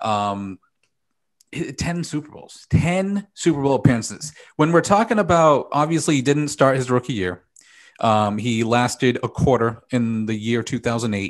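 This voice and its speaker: A man with an unremarkable speaking voice, medium pitch, moderate pace, and big swings in loudness, against a quiet background. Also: lively intonation. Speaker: NFL talk show host. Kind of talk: sports talk show host.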